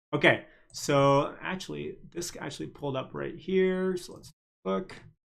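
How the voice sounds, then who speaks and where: A man speaks in a plain, everyday voice at a fairly high pitch and a fairly slow pace. His intonation is lively, and his loudness shifts in big swings. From Canada. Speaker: stock market livestreamer. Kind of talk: live stream commentary. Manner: casual, filler-heavy.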